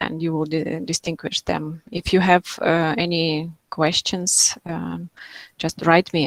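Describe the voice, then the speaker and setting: A woman speaks with a fairly low pitch and fairly even intonation. The sound is dry and close, with no echo. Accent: non-native. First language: not English. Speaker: materials scientist. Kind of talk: Q&A after a lecture. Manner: halting, many fillers.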